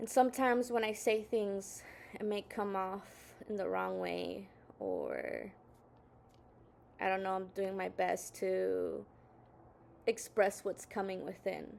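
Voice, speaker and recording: A woman with a Spanish accent, very slow, with long, frequent pauses. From Southern California. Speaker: video blogger. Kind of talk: casual monologue. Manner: halting, many fillers.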